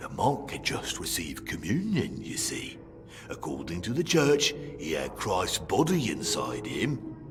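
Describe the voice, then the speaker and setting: Against clear background noise, a man does a put-on character voice at a fairly slow pace. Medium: video game. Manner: dry, sardonic, unhurried.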